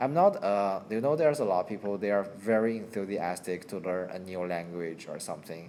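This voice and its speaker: With a Chinese accent and a dark, mellow tone, the speaker moves at a fairly quick pace with ordinary pitch variation. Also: man, fairly low pitch for a man. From China. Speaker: channel owner chatting with a friend. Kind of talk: casual chat. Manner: halting, many repetitions.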